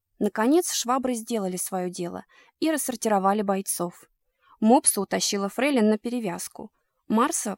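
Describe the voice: Plain reading aloud against a quiet background.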